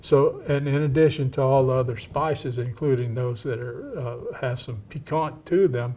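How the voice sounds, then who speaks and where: A man speaks at a moderate pace in a somewhat breathy, dark, mellow tone with fairly even intonation. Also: medium pitch for a man. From East Texas, Cajun family with Louisiana ties. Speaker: historian. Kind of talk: interview. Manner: halting.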